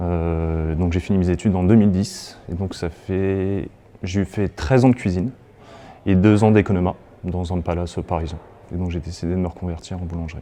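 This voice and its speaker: The voice has a dark, mellow tone and fairly even intonation, moving at a moderate pace. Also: man, very deep, low pitch for a man. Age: 30s. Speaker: baking apprentice, former cook. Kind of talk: interview self-introduction.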